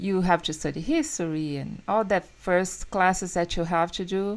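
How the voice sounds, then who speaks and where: Speaking fairly slowly in a Brazilian Portuguese accent, a woman holds a medium pitch with ordinary pitch variation. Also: very clean recording, silent background. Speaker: podcast host. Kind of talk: casual interview.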